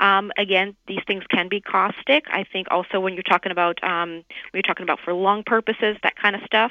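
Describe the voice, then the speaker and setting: Her voice is an unremarkable speaking voice: a woman with an American accent, medium pitch and fairly even intonation, talking at a fairly quick pace. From US South, New Orleans. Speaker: dermatologist. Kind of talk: radio interview.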